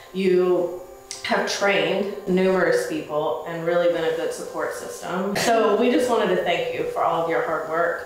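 A woman talks at a fairly slow pace. Strong room echo surrounds her, with faint music in the background. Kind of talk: award presentation speech. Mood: warm, appreciative, a little nervous. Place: meeting room.

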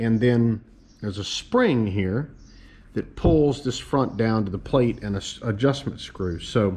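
Ordinary pitch variation shapes the man's fairly slow delivery. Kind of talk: casual show-and-tell commentary. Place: workshop.

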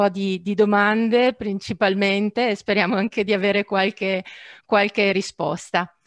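Over a quiet background, a woman talks at a moderate pace with monotone, flat intonation. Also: dry sound with no echo. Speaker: webinar moderator. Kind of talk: webinar moderation. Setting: video call. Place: home room. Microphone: headset.

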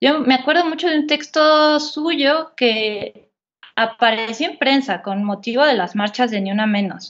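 A woman with a high pitch talks fairly slowly, her intonation lively. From rural central Mexico, Estado de México–Querétaro border. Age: 30s. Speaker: writer and journalist. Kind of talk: interview conversation. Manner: hesitant with fillers and repetitions.

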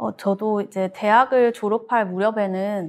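A woman's plain, everyday voice, medium in pitch, at a moderate pace, on a very clean recording with a silent background. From Gwangju, South Korea. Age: 30s. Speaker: local content entrepreneur. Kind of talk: panel discussion. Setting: studio.

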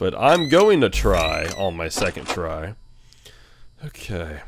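Music fills the background. Over it a man talks. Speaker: gamer. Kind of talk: let's play commentary.

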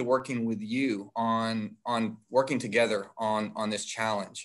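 Against a quiet background, a man speaks at a fairly slow pace. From San Antonio, Texas; Texas. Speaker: city council candidate; council candidate. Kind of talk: candidate forum debate. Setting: video call. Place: home room. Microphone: video call.

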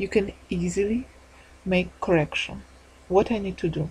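A speaker with a non-native accent talks at a fairly slow pace with fairly even intonation over noticeable background noise. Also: woman. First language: not English. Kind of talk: tutorial. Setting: screen recording voiceover. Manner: halting, apologetic.

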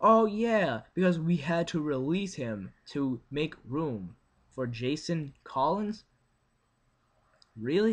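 With lively intonation, the man delivers his words. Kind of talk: casual vlog rant. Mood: frustrated, sarcastic. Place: home room. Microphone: webcam.

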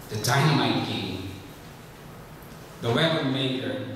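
Strong room echo and noticeable background noise fill the recording. A man speaks with ordinary pitch variation. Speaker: lay preacher. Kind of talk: sermon. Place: church.

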